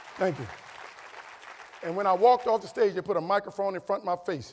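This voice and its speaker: Crowd noise fills the background as a man with a high voice speaks at a fairly quick pace in an animated tone, with ordinary pitch variation and long, frequent pauses. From New Orleans, Louisiana. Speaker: motivational speaker. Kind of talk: keynote speech. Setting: stage with audience.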